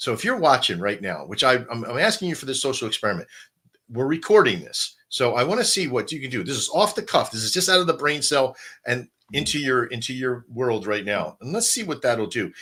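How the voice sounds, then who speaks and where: Speaking at a fairly quick pace, a man with a bright, sharp tone and medium pitch swings very widely in pitch. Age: 20s. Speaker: crypto livestream host. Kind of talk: live stream promotional chat. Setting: live online stream. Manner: animated.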